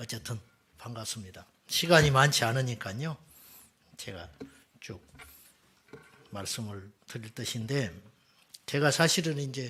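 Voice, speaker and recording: Delivered in a Jeolla accent, the speech moves at a fairly slow pace with long, frequent pauses. Loudness swings widely, while pitch varies in an ordinary way. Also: man, medium pitch for a man. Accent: Jeolla dialect, still noticeable. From South Jeolla, Korea (Suncheon). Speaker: pastor. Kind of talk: seminar talk.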